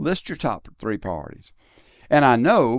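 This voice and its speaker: At a moderate pace, a man speaks in a medium pitch with ordinary pitch variation. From US South, South Carolina. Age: 60s. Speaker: podcast host and faith speaker. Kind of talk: interview conversation. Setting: studio. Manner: reflective, conversational.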